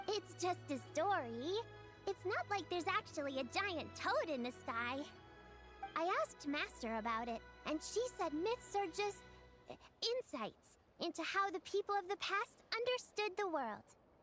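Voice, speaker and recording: Against clear music in the background, a woman uses a put-on character voice with an extremely high pitch. She speaks at a moderate pace. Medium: game stream. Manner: upbeat, chatty.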